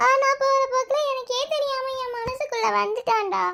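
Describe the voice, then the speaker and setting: A woman's cartoonish character voice, fairly slow, with lively intonation. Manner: rambling, repetitive, bossy.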